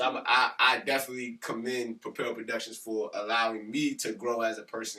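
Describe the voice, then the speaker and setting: Loud, bright and sharp, a man speaks at a fairly quick pace and medium pitch in a monotone, flat intonation with hardly any pauses. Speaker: teacher and podcast co-host. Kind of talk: casual chat.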